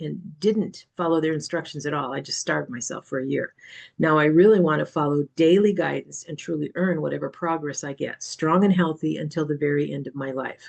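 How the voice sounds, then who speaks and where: A woman's very deep, low voice with vocal fry and ordinary pitch variation, at a fairly quick pace. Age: 70s. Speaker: recovery group facilitator. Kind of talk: reading aloud own written answers. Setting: video call.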